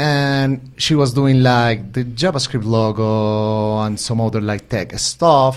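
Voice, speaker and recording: A man talks with a Spanish accent. His pitch sits in the medium range. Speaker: developer advocate, co-host. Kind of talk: casual podcast conversation. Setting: remote podcast recording.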